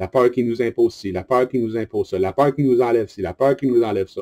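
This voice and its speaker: With a Quebec accent, a man speaks at a fairly quick pace and medium pitch, using a dark, mellow tone and ordinary pitch variation in a dry, close sound with no echo. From Quebec, Montreal. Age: 40s. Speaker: online group leader. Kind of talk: monologue video address. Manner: animated.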